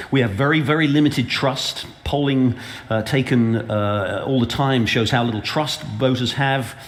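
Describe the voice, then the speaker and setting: Audible room echo and noticeable background noise surround a man speaking at a medium pitch and moderate pace, with ordinary pitch variation. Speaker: panel moderator, newspaper editor. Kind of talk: panel moderation. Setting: conference stage with audience. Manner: halting, many fillers and restarts.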